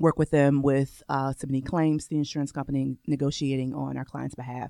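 Recorded very cleanly against a silent background, with a dry, close sound and no echo, a woman with a very deep, low, dark, mellow voice speaks at a moderate pace with fairly even intonation. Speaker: lawyer. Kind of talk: radio interview. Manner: laughs often.

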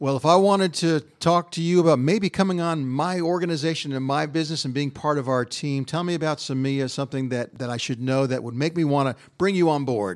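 This man has an ordinary speaking voice, fairly high in pitch with ordinary pitch variation, moving at a fairly quick pace with hardly any pauses. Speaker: radio host. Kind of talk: live interview at event. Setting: live event broadcast.

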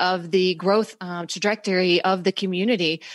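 In a normal speaking voice, a woman talks at a medium pitch and moderate pace against a quiet background. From US South, North Carolina. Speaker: marketing consultant, business owner. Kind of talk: interview. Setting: radio studio.

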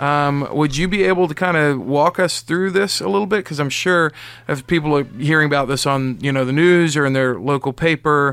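In a normal speaking voice, a man talks at a fairly quick pace, fairly high in pitch with ordinary pitch variation. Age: 40s. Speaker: radio co-host. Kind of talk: radio talk show interview; community announcements. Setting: radio studio.

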